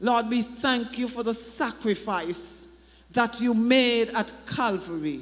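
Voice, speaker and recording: A woman speaks at a very slow pace. Her tone is solemn. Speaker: pastor or prayer leader. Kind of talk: fervent congregational prayer. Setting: church service, evening gathering. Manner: fervent, pleading, rising with emphasis; solemn, rhythmic, repetitive cadence. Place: church. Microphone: handheld.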